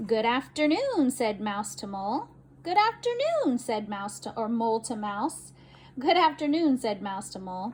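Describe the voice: The intonation here is lively. The text gets plain reading aloud.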